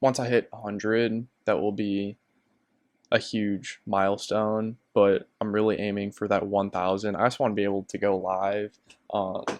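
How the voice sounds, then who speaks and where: A man's fairly low, flat, monotone voice with an American accent, at a moderate pace, in a dry, close sound with no echo. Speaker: sports YouTuber. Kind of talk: casual monologue. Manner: hesitant, many fillers.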